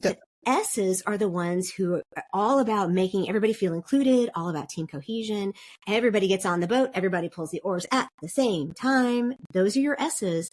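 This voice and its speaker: A woman with an American accent and an unremarkable speaking voice talks at a fairly quick pace, with a medium pitch and lively intonation. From South Korea (international school, American family). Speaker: podcast guest, DISC consultant. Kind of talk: interview conversation.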